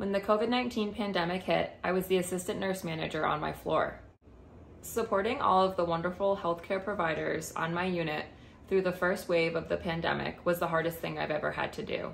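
Over light background noise, a woman with a fairly low pitch talks at a fairly quick pace. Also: fairly even intonation. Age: 20s. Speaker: cosmetology student, former nurse. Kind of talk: scholarship application video, prepared statement. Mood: earnest, warm.

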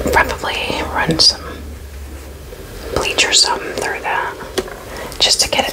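A woman whispers at a fairly slow pace. Her pauses are long and frequent. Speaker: ASMR creator. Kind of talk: casual rambling ASMR talk to camera. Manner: whispered. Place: home room. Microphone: studio mic.

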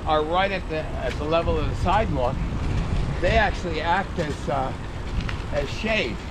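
A man at a fairly slow pace, with noticeable background noise. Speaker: local cycling guide. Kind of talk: interview answer. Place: bicycle.

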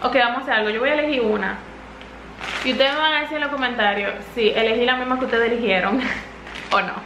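A woman speaks at a fairly high pitch and a moderate pace, her tone fairly bright. Room echo is audible, and her pitch varies in an ordinary way.

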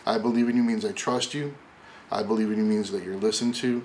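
A man at a fairly quick pace with monotone, flat intonation over light background noise. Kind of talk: address to staff. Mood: warm, encouraging. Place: office.

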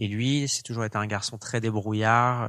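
A man speaks at a moderate pace in a fairly low pitch with a flat, monotone delivery. The recording is very clean, with a silent background. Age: 20s. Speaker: fashion entrepreneur. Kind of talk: interview.

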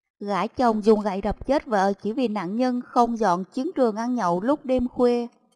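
In a dry, close recording with no echo, a woman with an unremarkable speaking voice talks at a moderate pace with a fairly high pitch and ordinary pitch variation. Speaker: news presenter. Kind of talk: news reading.

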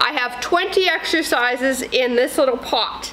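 A woman speaks in a raised, projected voice with lively intonation over light background noise. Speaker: fitness trainer. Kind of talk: workout instruction to camera. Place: gym. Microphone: lapel.

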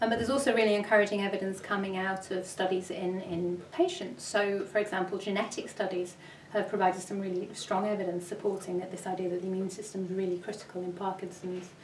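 Delivered at a very fast pace in monotone, flat intonation, the voice carries audible room echo and light background noise. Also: woman, hardly any pauses. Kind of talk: interview answer. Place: office.

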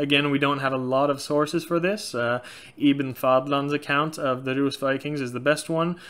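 Hardly any pauses break a man's moderate pace as he speaks in a fairly high pitch with fairly even intonation. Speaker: YouTuber on Norse paganism. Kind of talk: casual Q&A monologue. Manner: frequent filler words, loosely halting. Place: home room. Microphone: webcam.

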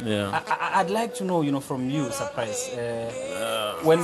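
Speech at a moderate speed comes over clear background music. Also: man. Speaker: TV sports show host. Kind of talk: interview question. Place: studio. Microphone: lapel.

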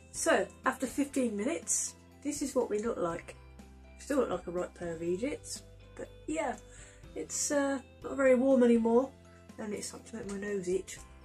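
Faint music plays in the background while a woman speaks at a moderate pace. Her loudness swings widely, and she takes long, frequent pauses. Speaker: beauty vlogger. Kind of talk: casual vlog chat. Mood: playful, laughing. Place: home room. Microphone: camera far.

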